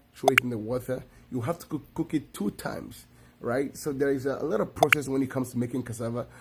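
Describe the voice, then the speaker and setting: A man with a Nigerian accent, medium pitch, fairly quick pace. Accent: Nigerian English (Igbo). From Nigeria (Igbo, village upbringing). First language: Igbo. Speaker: video creator. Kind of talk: tutorial. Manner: casual, repetitive with self-corrections.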